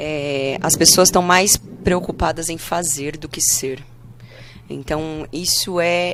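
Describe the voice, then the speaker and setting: A woman's very deep, low voice at a very slow pace, with fairly even intonation, big swings in loudness, and noticeable background noise. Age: 30s. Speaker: pastor. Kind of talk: casual interview.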